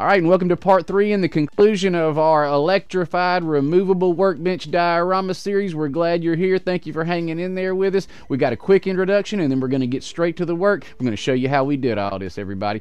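Talking at a very fast pace, a man has a high pitch with ordinary pitch variation, recorded dry with no echo. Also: hardly any pauses. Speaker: hobby channel host. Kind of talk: casual vlog chat. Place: home room. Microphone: headset.

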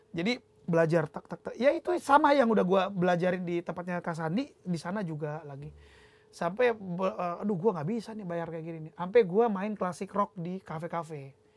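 Speaking at a fairly quick pace, a man with a high pitch uses ordinary pitch variation and big swings in loudness. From North Sumatra, Indonesia (Sidikalang, Batak); North Sumatra. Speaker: musician, drummer; guest. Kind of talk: casual chat. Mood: relaxed, animated storytelling. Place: studio.

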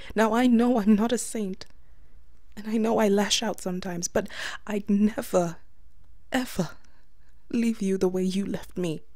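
At a moderate pace, a woman of medium pitch speaks in a tearful, dark, mellow tone with fairly even intonation and long, frequent pauses. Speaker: ASMR voice actor playing an ex-girlfriend. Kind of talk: scripted ASMR voicemail monologue, pleading and sad. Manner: tearful, choked and trembling, begging; halting, with bitter laughs between lines.

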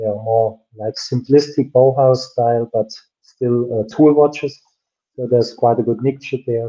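A man with a German accent speaks at medium pitch in a dark, mellow tone. His intonation is flat and monotone, over a quiet background. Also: moderate pace. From Germany. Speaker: watch brand founder and designer; guest. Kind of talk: interview on a livestream. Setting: video call. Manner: laughs often, relaxed. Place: home room. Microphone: video call.

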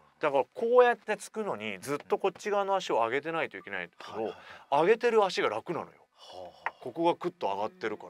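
A man talks with very wide pitch swings in a dry recording with no echo. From Japan, Oita; Japan. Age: 40s. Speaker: radio host. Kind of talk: casual chat. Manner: animated. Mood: surprised, enthusiastic. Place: studio. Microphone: studio mic.

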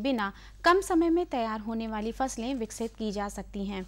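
A woman delivers her words at a fairly slow pace, her intonation lively. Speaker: news anchor. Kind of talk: news reading. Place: studio.

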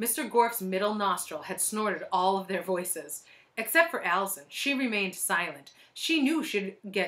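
With lively intonation, the reading voice sounds unforced.

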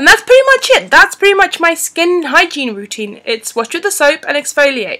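In a raised, projected voice with a bright, sharp tone, a woman swings her pitch very widely against a quiet background. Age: 30s. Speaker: beauty and fashion vlogger. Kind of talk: unscripted product review. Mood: friendly, chatty. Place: home room. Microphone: webcam.

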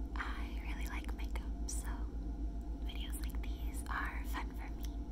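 A woman talks over loud background noise. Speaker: ASMR creator. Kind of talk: ASMR makeup showcase talking to camera. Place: home room. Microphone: phone near.

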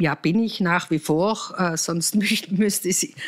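A woman speaks at a very slow pace with ordinary pitch variation. The recording is very clean, with a silent background. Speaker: politician. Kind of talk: interview. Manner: hesitant, many filler sounds.

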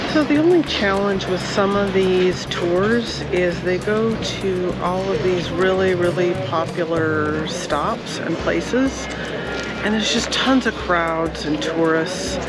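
Over music in the background, a woman speaks very slowly with ordinary pitch variation in a dry sound with no echo. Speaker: travel vlogger. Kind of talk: casual vlog chat. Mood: reflective, mildly critical. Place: street. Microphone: phone near.

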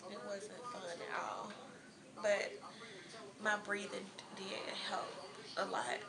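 A woman speaking at a very slow pace with ordinary pitch variation, over noticeable background noise. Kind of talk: casual vlog chat. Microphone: phone near.

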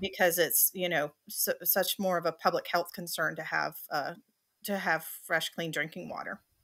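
A woman speaks with a Southern US accent at a fairly low pitch and a moderate pace. Her tone is bright and sharp, her intonation monotone and flat, and the background is quiet. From South Carolina, USA. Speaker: water utility operations manager. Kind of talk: interview answer. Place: home room.

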